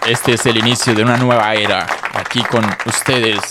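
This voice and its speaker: A man at a moderate pace, with crowd noise in the background and audible room echo. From Casanare, Colombia. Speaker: podcast co-host. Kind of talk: casual chat. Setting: studio.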